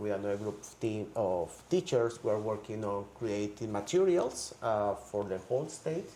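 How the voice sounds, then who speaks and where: Amid noticeable background noise, a man in a Spanish accent speaks at a fairly slow pace with a fairly low pitch. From Colombia. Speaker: high school language teacher. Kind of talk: interview.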